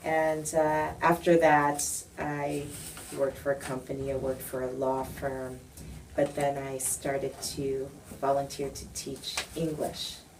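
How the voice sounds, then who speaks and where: Through audible room echo, a woman with a very deep, low pitch speaks fairly slowly in a flat, monotone way. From United States. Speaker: education professor. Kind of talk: interview.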